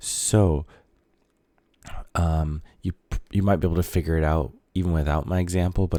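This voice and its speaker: A soft-spoken man talks at a fairly quick pace. His tone is dark and mellow, with monotone, flat intonation. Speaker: high school math teacher. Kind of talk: tutorial. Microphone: mic very close to the mouth.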